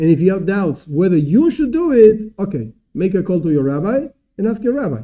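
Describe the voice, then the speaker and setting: A man's high voice with very wide pitch swings and a dark, mellow tone, at a fairly quick pace. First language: not English. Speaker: rabbi teaching a class. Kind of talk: lecture. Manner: halting.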